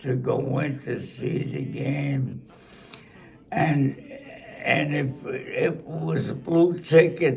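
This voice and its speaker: A man talks with a Brooklyn accent. His pace is very slow. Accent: New York (Brooklyn). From Brooklyn, New York. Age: 80s+. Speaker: centenarian sports fan. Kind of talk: interview answer.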